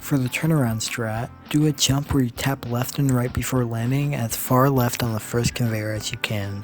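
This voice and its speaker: a man at a moderate pace with fairly even intonation, music playing in the background. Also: medium pitch for a man. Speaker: speedrunner. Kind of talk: game tutorial narration.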